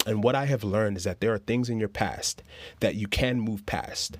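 In an ordinary speaking voice, a man talks with a fairly low pitch, fairly even intonation and a fairly quick pace. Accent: American. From US Northeast (Brooklyn, New York). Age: 30s. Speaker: life coach. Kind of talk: prepared talk.

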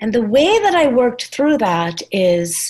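The delivery is very slow. This woman's voice has a somewhat breathy quality. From Trinidad. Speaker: nonprofit founder. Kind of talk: casual discussion.

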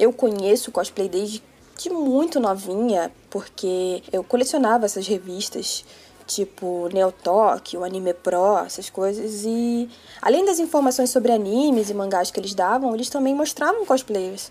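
A woman speaks at a fairly high pitch with lively intonation. Her pace is fairly slow. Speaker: cosplayer. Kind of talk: podcast interview.

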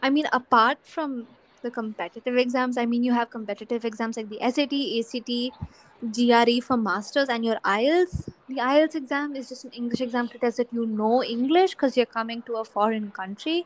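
A woman's high voice with ordinary pitch variation and hardly any pauses, dry and close with no echo, over noticeable background noise. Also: moderate pace. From India. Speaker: podcast host and college student. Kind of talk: casual chat.

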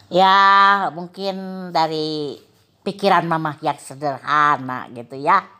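On a very clean recording with a silent background, a woman with a fairly low pitch and a bright, sharp tone speaks at a very slow pace with ordinary pitch variation. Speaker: primary school teacher. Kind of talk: casual interview. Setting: at home.

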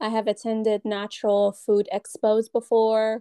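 This woman speaks at a very slow pace. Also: quiet background. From Iran. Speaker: dietitian and exam tutor. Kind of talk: casual interview chat.

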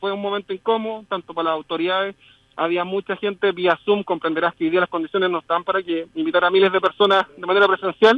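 Speaking very fast with a Chilean accent, a man keeps his high voice at fairly even intonation. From southern Chile (Temuco). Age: 30s. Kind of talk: remote interview. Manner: halting.

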